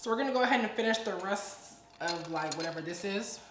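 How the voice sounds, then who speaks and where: A woman with lively intonation and a medium pitch is heard amid audible room echo and noticeable background noise. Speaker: influencer, storytime YouTuber. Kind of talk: casual vlog chat. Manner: animated.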